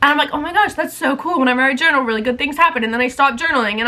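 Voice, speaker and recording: A woman projects a raised voice at a high pitch, bright and sharp in tone, with ordinary pitch variation. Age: 20s. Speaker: lifestyle vlogger. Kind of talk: casual chatty vlog. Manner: fast; animated.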